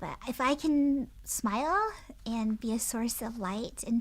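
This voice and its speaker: A woman speaks in a high voice. The recording is very clean, with a silent background. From US, Japanese-American. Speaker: family lawyer and law professor. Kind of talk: podcast interview. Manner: earnest, reflective.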